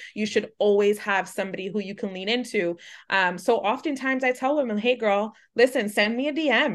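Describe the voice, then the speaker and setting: A woman with an American accent and an ordinary speaking voice speaks at a fairly high pitch and fairly quick pace, with ordinary pitch variation against a quiet background. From New York City (Manhattan). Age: 30s. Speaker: business founder. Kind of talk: interview.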